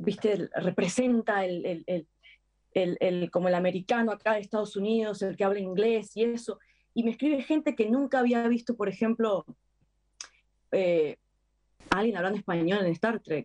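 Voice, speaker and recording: A woman speaks at a medium pitch and a moderate pace, with ordinary pitch variation and a dark, mellow tone. Long, frequent pauses break her speech, and the sound is dry and close with no echo. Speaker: actress. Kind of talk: interview.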